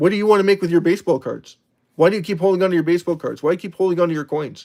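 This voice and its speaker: A man talks at a very fast pace in a high pitch. His intonation is fairly even. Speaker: crypto livestream host. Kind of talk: live stream chat reading viewer comments. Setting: live stream.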